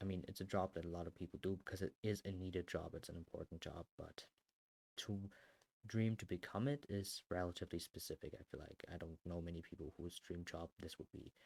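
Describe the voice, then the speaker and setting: The speech comes at a fairly quick pace in a German accent, with ordinary pitch variation and a dry, close sound with no echo. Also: man. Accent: German accent, strength unknown. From Germany. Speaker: artist and content creator. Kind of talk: casual chat. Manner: casual, rambling with fillers.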